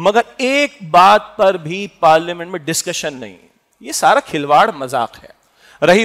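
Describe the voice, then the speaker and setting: A quiet background behind a man's speech. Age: 50s. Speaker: preacher. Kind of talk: sermon. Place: hall. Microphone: headset.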